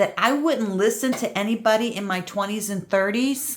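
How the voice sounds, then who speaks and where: With a plain, everyday voice, a woman speaks at a fairly high pitch with ordinary pitch variation. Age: 60s. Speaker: crafting youtuber. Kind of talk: casual chat. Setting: visiting a friend's house.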